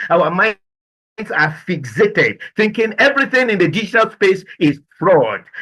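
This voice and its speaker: Raising and projecting his voice, a man with a high pitch and a bright, sharp tone speaks at a fairly slow pace, his loudness very even and his pitch varying in an ordinary way. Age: 60s. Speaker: business and life coach. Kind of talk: motivational presentation. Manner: animated.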